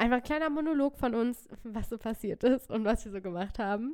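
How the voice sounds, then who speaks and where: Using a plain, everyday voice, a woman with fairly high pitch talks at a fairly quick pace with ordinary pitch variation. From northern Germany, near Hannover. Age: 20s. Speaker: podcast co-host. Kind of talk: casual chat.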